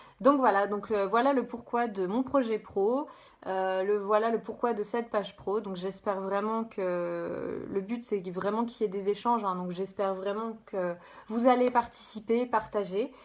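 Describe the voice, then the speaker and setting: A woman's medium-pitched voice at a fairly slow pace, with fairly even intonation, on a very clean recording with a silent background. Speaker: life coach. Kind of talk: live stream presentation. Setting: live video stream. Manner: halting.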